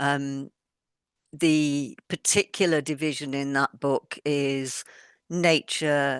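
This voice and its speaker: Her voice sits very deep and low for a woman, with fairly even intonation, a dry, close sound with no echo, and a quiet background. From mobile childhood, army families abroad. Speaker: author, former head teacher. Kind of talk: interview.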